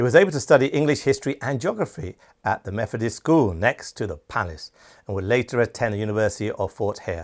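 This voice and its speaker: Very fast and with lively intonation, a man speaks at a medium pitch with a British accent. The sound is dry and close with no echo, on a very clean recording with a silent background. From Britain. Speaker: channel host and awards show founder. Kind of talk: scripted documentary narration.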